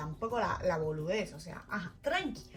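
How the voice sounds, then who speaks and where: Over music in the background, a woman with a French accent speaks in an animated tone. Her pitch swings very widely at a moderate pace. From France. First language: French (speaking Spanish). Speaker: vlogger. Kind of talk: personal storytelling vlog.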